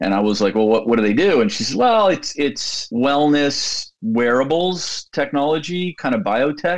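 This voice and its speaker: A man speaks at a fairly high pitch and a moderate pace. His pitch swings very widely. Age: 50s. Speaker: tech company CEO. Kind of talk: interview conversation.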